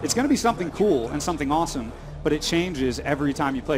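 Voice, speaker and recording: Through audible room echo and noticeable background noise, a man speaks at a very fast pace. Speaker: game developer presenting their game. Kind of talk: interview with live gameplay demo. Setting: convention stage. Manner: enthusiastic.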